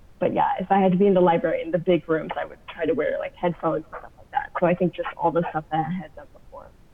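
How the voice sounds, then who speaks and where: Over noticeable background noise, a woman with an American accent and a fairly low voice talks at a very fast pace with ordinary pitch variation. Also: big swings in loudness. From US Southwest, Arizona. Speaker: graduate student. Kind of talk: casual interview. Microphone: audio issues, sometimes hard to make out.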